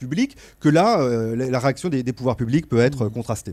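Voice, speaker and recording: Delivered at a moderate pace, the voice has a dark, mellow tone and lively intonation. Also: man. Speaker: sociologist; panelist. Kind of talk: panel discussion. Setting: stage with audience. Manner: halting, repeats words. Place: hall. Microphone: handheld.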